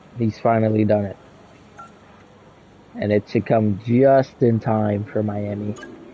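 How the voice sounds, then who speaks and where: Over noticeable background noise, a man speaks fairly slowly with long, frequent pauses, his fairly low voice flat and monotone. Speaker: gaming streamer. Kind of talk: live gameplay commentary. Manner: casual, with filler words.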